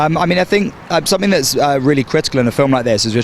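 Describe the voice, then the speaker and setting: A man speaks with a British accent. Noticeable background noise runs under the recording. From London, England. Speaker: film director. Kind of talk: red carpet interview. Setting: film festival red carpet. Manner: halting, many fillers.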